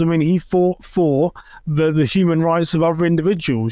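Here is a man with an English accent. His pitch is high and his pace fairly quick. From England. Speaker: podcast host. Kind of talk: interview.

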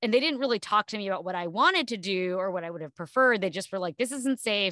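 With an American accent, a woman speaks at a medium pitch with ordinary pitch variation, the sound dry and close with no echo against a quiet background. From New Jersey, US East Coast. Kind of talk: interview conversation. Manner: hesitant, many fillers and restarts.

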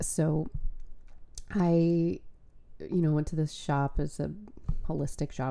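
Very deep and low, a woman's voice has a dark, mellow tone. She moves at a moderate pace with very wide pitch swings. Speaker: spiritual coach and podcast host. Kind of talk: solo podcast monologue. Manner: casual, chatty with filler words.

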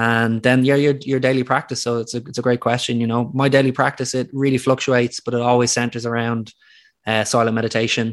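Very fast and flat in intonation, a man with an Irish accent talks in a medium pitch against a quiet background. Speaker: retreat founder and scientist. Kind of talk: casual interview chat.

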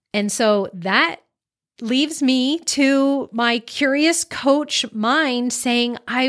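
In a very clean recording with a silent background, a woman speaks at a high pitch with ordinary pitch variation. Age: 40s. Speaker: life coach and podcast host. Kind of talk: casual monologue. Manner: off the cuff, unscripted.

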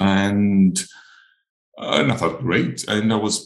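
A man speaks with a Greek accent. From Greece (Crete). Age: 40s. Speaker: olive farmer and coloured pencil artist. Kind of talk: casual interview chat. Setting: video call.

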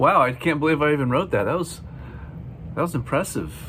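A man with a normal speaking voice, fairly high pitch and ordinary pitch variation. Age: 50s. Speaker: drummer and drum educator. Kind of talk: podcast monologue. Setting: school career day.

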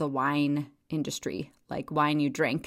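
Someone with an American accent is heard on a very clean recording with a silent background. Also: woman. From Wyoming, US. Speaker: podcast host and town mayor. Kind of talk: casual monologue.

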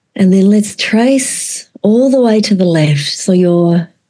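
A woman with an Australian accent speaks at a medium pitch. Her intonation is lively. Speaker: trauma therapist and educator. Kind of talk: conversational interview; guided exercise.

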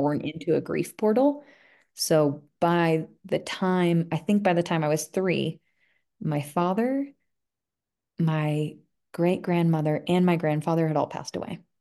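Against a quiet background, a woman with a dark, mellow tone and fairly low pitch speaks at a fairly slow pace, with ordinary pitch variation and long, frequent pauses. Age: 30s. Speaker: energy healing practitioner. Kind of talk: casual interview.

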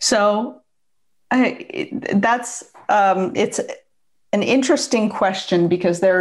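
A woman with a Pacific Northwest accent and lively intonation. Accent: American (Pacific Northwest). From US Pacific Northwest (Seattle), also Bangkok. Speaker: divorce coach and entrepreneur. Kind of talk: interview.

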